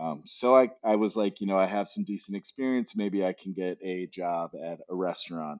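With an American accent and an unremarkable speaking voice, a man talks at a moderate pace, fairly low in pitch, with ordinary pitch variation and hardly any pauses. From Arizona, US Southwest. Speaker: hospitality designer and bar concept partner. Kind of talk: casual interview.

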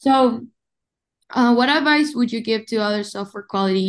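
A woman speaks at a moderate pace with a Spanish accent. The background is quiet. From Uruguay. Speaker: podcast host. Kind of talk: interview.

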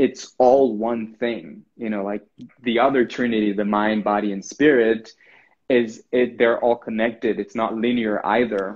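At a fairly slow pace, a man with a medium pitch talks with a slight non-native accent. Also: fairly even intonation. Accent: near-native English. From Brazil. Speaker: spiritual guide. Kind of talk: casual chat. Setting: video call.

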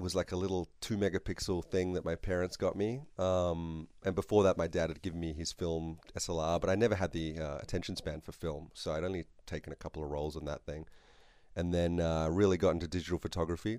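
The recording is very clean, with a silent background. A man with a very deep, low pitch and a dark, mellow tone speaks very fast. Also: fairly even intonation. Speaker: photographer and former zoologist. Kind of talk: casual interview.

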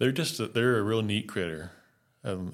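A man with an American accent talks with ordinary pitch variation on a very clean recording with a silent background. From US South (North Carolina, West Virginia). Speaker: wildlife biologist. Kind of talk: casual interview.

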